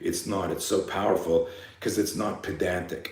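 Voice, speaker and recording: Noticeable background noise and audible room echo surround a man with a very deep, low pitch. He speaks in an animated tone. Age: 60s. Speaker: fear management coach and self-defense instructor. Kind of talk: live seminar talk.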